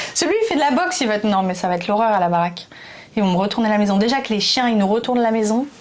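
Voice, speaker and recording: A woman talks at a very fast pace in a fairly high pitch, with lively intonation and an animated tone. Her loudness stays very even over noticeable background noise and audible room echo. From France. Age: 20s. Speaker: YouTuber. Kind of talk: casual chat.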